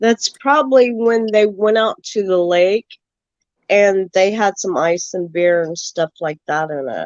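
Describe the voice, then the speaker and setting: A normal speaking voice in an American accent, fairly slow, with lively intonation. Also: woman, medium pitch for a woman. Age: 60s. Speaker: caller on open panel. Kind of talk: casual chat.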